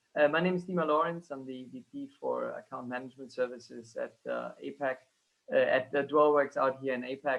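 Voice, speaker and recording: With a German accent, a man talks in big swings of loudness. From Germany. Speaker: relocation company executive. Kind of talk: panel discussion webinar. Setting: video call.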